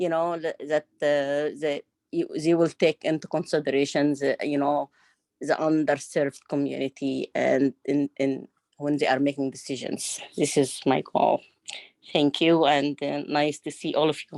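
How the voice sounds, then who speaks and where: A woman speaks with a non-native accent in a very deep, low voice, monotone and flat. Her fairly slow delivery has a dry, close sound with no echo. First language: not English. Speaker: subcommittee member, health department staff. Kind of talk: meeting self-introduction. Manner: halting, many fillers.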